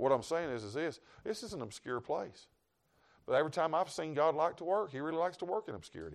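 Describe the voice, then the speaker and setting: Speaking very fast with a Southern US accent, a man with a fairly high pitch, vocal fry and lively intonation makes big swings in loudness and leaves long, frequent pauses. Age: 50s. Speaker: traveling evangelist preacher. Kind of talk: sermon. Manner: animated.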